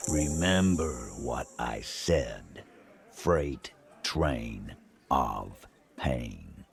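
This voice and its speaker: In a put-on character voice, a man speaks very slowly with a very deep, low pitch and long, frequent pauses. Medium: video game. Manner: blunt, crude.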